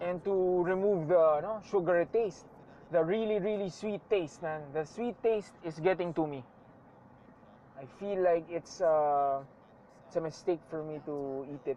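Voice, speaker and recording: A fairly slow pace in a Filipino accent. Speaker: vlogger. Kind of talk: casual monologue while driving. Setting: in a car. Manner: casual, code-switching.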